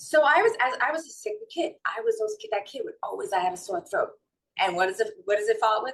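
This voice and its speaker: A woman with a strong New York accent at a very fast pace. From New York City / North Jersey. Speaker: holistic wellness and mindset coach. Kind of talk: interview.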